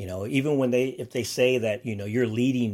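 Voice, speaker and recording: A man talks fairly quickly at a medium pitch, his pitch varying in an ordinary way. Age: 50s. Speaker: podcast host; runs an agency. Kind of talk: motivational solo talk. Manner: casual, laughing often.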